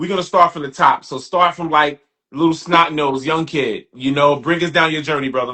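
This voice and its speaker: Fairly high-pitched man with a New York accent, fairly even intonation and a moderate pace. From Brooklyn, New York. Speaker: podcast host. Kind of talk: casual chat. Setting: livestream.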